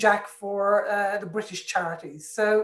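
In a space with audible room echo, a woman speaks at a fairly slow pace. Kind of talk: interview answer. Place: home room. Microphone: video call.

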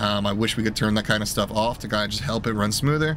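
A man's fairly even intonation, dry sound with no echo, light background noise. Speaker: game streamer. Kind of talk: casual commentary. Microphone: headset.

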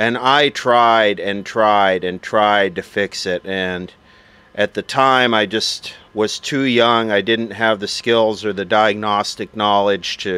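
Speaking very slowly, a man uses a fairly low pitch and fairly even intonation. The sound is dry with no echo. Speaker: vintage radio collector. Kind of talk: casual show-and-tell narration. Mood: nostalgic, relaxed. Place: open country.

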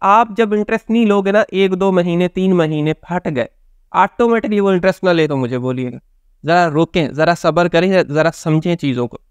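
The background is quiet and the sound is dry with no echo. A high-pitched man speaks at a fairly slow pace with ordinary pitch variation. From Pakistan. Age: young. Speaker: motivational speaker and counsellor; motivational speaker. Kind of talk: motivational talk to camera. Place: home room.

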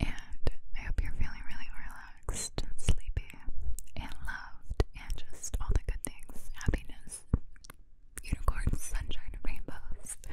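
A woman whispers at a fairly slow pace in a gentle, soothing tone. Loud background noise fills the recording. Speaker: ASMR creator. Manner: gentle soothing whisper into mic. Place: home room. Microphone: studio mic.

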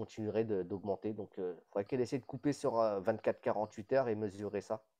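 A man talks in a fairly low pitch. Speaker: reef aquarium hobbyist. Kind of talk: casual chat.

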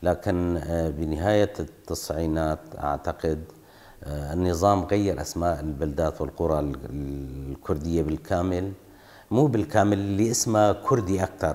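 With a Kurdish accent, the speaker goes at a fairly slow pace and shows ordinary pitch variation. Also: man, very deep, low pitch for a man. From northeastern Syria, Qamishli area (Kurdish village); Syria. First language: Kurdish (speaking Arabic). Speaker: oral history interviewee; interviewee. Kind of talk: testimony. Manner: halting. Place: home room.

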